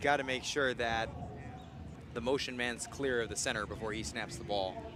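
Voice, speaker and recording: With audible room echo, a man talks at a moderate pace in a medium pitch with ordinary pitch variation. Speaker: play-by-play sports commentator. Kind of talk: live commentary. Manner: loud, yelling; animated.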